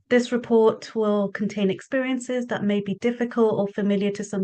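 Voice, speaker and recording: With a British accent, a woman speaks at a moderate pace. Her pitch is fairly high and her intonation fairly even. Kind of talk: event housekeeping announcements. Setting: Zoom webinar.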